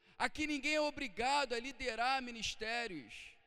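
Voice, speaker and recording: A man speaks at an extremely high pitch. His raised, projected voice has a bright, sharp tone. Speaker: pastor. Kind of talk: sermon. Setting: church. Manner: earnest, exhortative preaching; rhetorical questions, checking in with the congregation.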